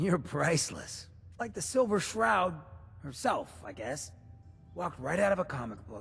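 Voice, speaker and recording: A man's put-on character voice, fairly high in pitch with very wide pitch swings, at a moderate pace with long, frequent pauses. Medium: video game. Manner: laid-back, wry.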